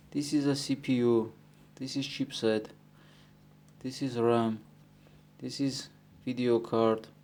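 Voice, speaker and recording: On a very clean recording with a silent background, a man with a non-native accent talks at medium pitch, very slowly and in a flat monotone, leaving long, frequent pauses. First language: not English. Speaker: electronics repair technician. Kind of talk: tutorial. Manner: halting, with many fillers.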